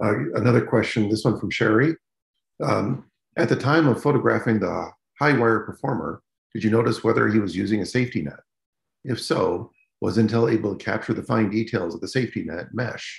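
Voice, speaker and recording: A man with vocal fry talks at a fairly quick pace with ordinary pitch variation, audible room echo and a quiet background. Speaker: meetup organizer introducing speaker. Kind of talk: announcements and introduction. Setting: video call. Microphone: video call.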